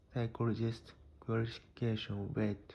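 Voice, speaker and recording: A man talks at a fairly slow pace with a medium pitch. His voice is somewhat breathy with a dark, mellow tone. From Japan. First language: Japanese. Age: 30s. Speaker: psychology explainer. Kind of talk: educational talk.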